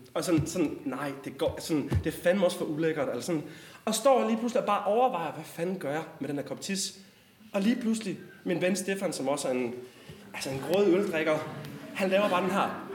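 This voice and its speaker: In a room with audible echo, a man speaks very fast in a high pitch with lively intonation. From West Jutland, Denmark (Struer). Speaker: storyteller. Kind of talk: personal storytelling.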